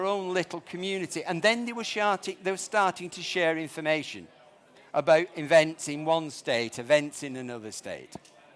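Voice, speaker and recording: Spoken at a moderate pace in a northern English accent, the intonation is lively. The recording is very clean, with a silent background. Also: man. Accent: northern English, noticeable. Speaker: startup founder presenting at conference. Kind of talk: conference presentation.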